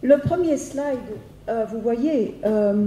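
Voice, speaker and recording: Very slowly, a woman speaks with a Dutch accent at a fairly high pitch with ordinary pitch variation. Room echo is audible. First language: Dutch (speaking French). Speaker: philosophy professor. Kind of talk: lecture. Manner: halting, many hesitations and repetitions.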